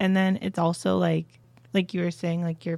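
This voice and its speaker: A woman's fairly low voice with a dark, mellow tone and an American accent, at a fairly quick pace, dry and close with no echo. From New Jersey, US. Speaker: university student. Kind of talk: casual chat.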